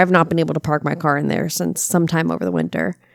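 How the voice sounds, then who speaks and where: A woman speaks in an animated way with an American accent. The recording is very clean, with a silent background. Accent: slight Tennessee drawl creeping in. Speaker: podcast co-host. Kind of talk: casual chat.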